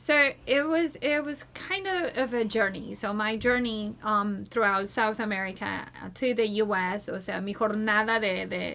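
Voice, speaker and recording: With noticeable background noise behind her, a woman speaks at a fairly slow pace and fairly high pitch, using ordinary pitch variation and hardly any pauses. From Brazil. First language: Portuguese. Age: 40s. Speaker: community leadership nonprofit founder. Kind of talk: podcast interview. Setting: studio.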